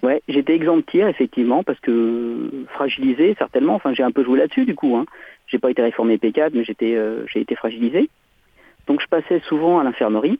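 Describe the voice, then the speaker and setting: This is a man with a normal speaking voice at a medium pitch. He keeps a moderate pace and ordinary pitch variation. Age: 50s. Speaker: caller, former conscript. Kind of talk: radio phone-in.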